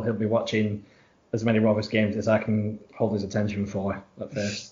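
Speaking at a fairly quick pace with a Lancashire accent, a man uses a medium-pitched, somewhat breathy voice. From Blackburn, Lancashire. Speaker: football fan. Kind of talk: casual interview.

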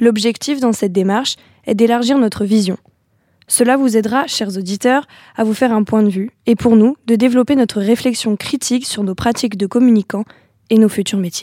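A woman speaks at a moderate pace with a fairly high pitch and a dark, mellow tone. Her intonation is fairly even, and the sound is dry and close with no echo. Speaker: communication student. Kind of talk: scripted interview introduction; interview.

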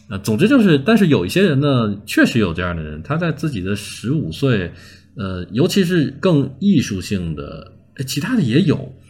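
A man with a medium-pitched voice talks at a moderate pace, his pitch swinging very widely. Vocal fry runs through his speech. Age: 30s. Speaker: online video creator. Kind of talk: casual interview.

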